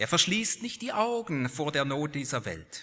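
Very slowly, a man talks in a bright, sharp tone at a fairly high pitch, with very wide pitch swings. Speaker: preacher; lecturer at a university, preacher. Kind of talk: sermon, preacher in full flow, building to a rousing close. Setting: church. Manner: earnest, emphatic, rhetorical, with repeated phrasing.

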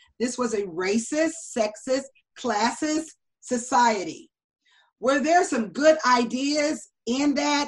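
A woman with an American accent speaks at a high pitch and a very slow pace. Her intonation is lively. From US West Coast, Los Angeles. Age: 50s. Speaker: presidential candidate. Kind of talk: interview.

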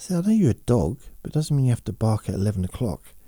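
In a very clean recording with a silent background and a dry, close sound with no echo, a man at medium pitch speaks in a relaxed, dark, mellow tone that is somewhat breathy. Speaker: podcaster who talks listeners to sleep and relaxation. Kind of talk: relaxation talk, slow monologue. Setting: home, dog under the table. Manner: relaxed, rambling, chatty; slow, soothing.

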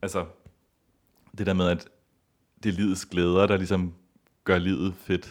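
Very deep and low, a man's voice moves at a fairly slow pace with long, frequent pauses. His intonation is monotone and flat. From Copenhagen, Denmark. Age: 30s. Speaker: ballet dancer and festival organiser. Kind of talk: interview.

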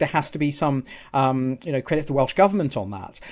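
A man with a southern English accent at a fairly quick pace against a quiet background. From southern England, Southampton. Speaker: political candidate. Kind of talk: radio interview.

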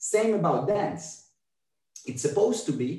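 Lively intonation in a somewhat breathy male voice. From Israel. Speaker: movement artist and dancer. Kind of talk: casual chat. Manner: halting.

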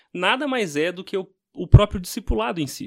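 A man speaks at a high pitch and a moderate pace. The recording is very clean, with a silent background and a dry, close sound with no echo. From Brazil, Minas Gerais. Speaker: pastor. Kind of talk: casual chat.

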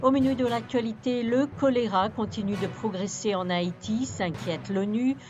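Noticeable background noise sits behind a woman's voice. She speaks at a fairly slow pace with a fairly high pitch and ordinary pitch variation. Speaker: news presenter. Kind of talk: formal newsreading, crisp scripted bulletin delivery. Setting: studio. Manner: formal; steady, measured, neutral broadcast pace.

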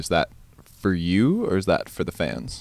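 A man with a very deep, low pitch and vocal fry is heard in a very clean recording with a silent background. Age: 20s. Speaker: podcast host. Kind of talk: scripted intro; casual interview. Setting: backstage dressing room.

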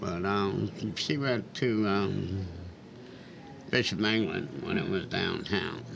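A man with a Lowcountry accent talks at a very slow pace with long, frequent pauses, a fairly low pitch and ordinary pitch variation, amid noticeable background noise and audible room echo. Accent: Lowcountry Southern US. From Charleston, South Carolina. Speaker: public housing resident, retiree. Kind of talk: interview, life story. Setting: radio studio.

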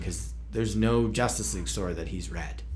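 Talking at a fairly quick pace, a man uses a very deep, low pitch with vocal fry and ordinary pitch variation. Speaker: podcast host. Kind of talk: casual chat about comics.

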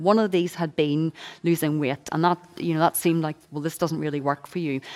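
A woman with a Northern Irish accent and a fairly low pitch, on a very clean recording with a silent background. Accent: Northern Irish (Belfast). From Northern Ireland, Belfast. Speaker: author and speaker on eating disorders. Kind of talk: testimony and talk.

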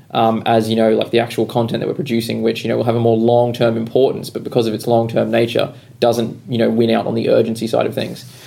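An Australian-accented man talks at a very fast pace. He hardly pauses at all. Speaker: podcast host. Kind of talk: casual chat.

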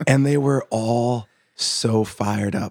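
In a very clean recording with a silent background, a man with an American accent and a plain, everyday voice talks at a medium pitch with ordinary pitch variation. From Boston. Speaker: working musician. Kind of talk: casual chat.

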